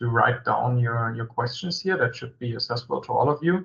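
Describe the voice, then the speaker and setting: A man with a non-native accent at a moderate pace. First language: German. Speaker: company executive presenting a webinar. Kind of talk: webinar presentation. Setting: online video meeting. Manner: halting, many fillers.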